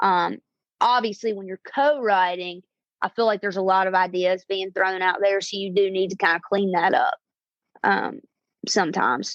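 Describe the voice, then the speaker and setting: With a Southern US accent, a woman of medium pitch talks at a moderate pace with fairly even intonation in a dry, close sound with no echo. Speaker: singer-songwriter. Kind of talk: interview. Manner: halting, many fillers.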